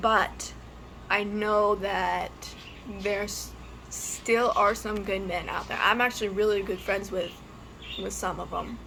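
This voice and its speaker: Speaking at a fairly slow pace, a woman leaves long, frequent pauses. There is audible room echo. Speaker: YouTuber. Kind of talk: personal testimony vlog. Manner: halting, hesitant.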